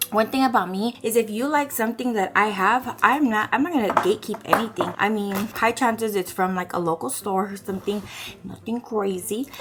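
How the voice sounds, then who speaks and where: An animated tone from a woman, fairly high in pitch, with ordinary pitch variation and noticeable background noise. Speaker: lifestyle vlogger. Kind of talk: casual vlog chat. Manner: fast.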